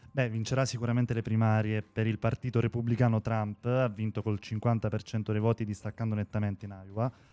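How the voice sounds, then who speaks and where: A man talks fairly quickly in a dark, mellow tone with hardly any pauses. His intonation is monotone and flat, and the sound is dry and close with no echo. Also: medium pitch for a man. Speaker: podcast co-host. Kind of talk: casual news discussion. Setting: remote connection from abroad.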